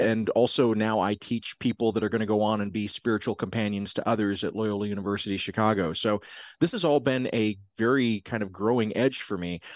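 In a normal speaking voice, a man with a fairly low pitch and an American accent talks at a fairly quick pace with fairly even intonation, the sound dry and close with no echo against a quiet background. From US South, South Georgia. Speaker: podcast producer and professor of spirituality. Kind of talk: interview conversation.

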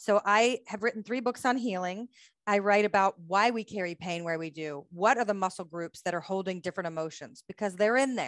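With an American accent and a plain, everyday voice, a woman speaks at a moderate pace in a dry, close sound with no echo and a quiet background. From United States. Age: 40s. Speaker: bodywork therapist and author. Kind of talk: interview.

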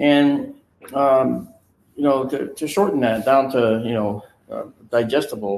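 A man's voice, fairly high in pitch. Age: 60s. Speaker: photo and video analyst for a UFO research group. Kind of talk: casual chat. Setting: on location with a group.

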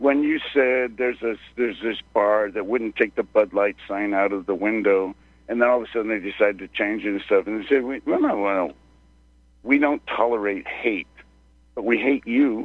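A man with an American accent speaks at a moderate pace, his pitch medium with ordinary variation. It is a plain, everyday voice. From Texas. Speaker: caller. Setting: phone call.

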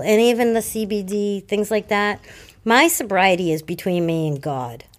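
A woman's medium-pitched voice in a Boston accent, at a fairly slow pace. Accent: Boston-area New England. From Massachusetts, South Shore. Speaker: guest in recovery. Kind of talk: casual chat. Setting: recovery center room. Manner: animated.

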